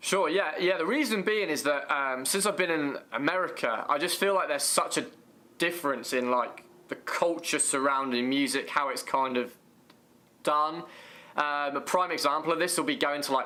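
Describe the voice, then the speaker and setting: Speaking in an English accent, a man has a fairly high pitch. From England. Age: 20s. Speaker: YouTuber. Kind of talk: casual interview.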